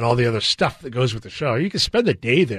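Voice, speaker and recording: Over a quiet background, a man talks at a very fast pace in a medium pitch. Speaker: garden show coordinator and horticulturist. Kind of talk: casual interview.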